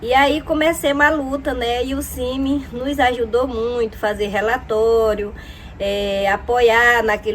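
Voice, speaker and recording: A woman's voice with ordinary pitch variation. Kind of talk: testimony. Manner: hesitant, frequent fillers.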